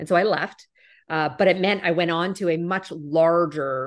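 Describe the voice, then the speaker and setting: A woman with a Canadian accent and ordinary pitch variation, set against a quiet background. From Canada. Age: 40s. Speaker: corporate executive. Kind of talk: interview.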